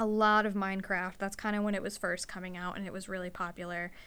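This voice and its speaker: The woman's voice sits at a medium pitch with fairly even intonation. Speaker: podcast host, veterinary receptionist. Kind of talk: casual chat. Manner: soft-spoken, shy.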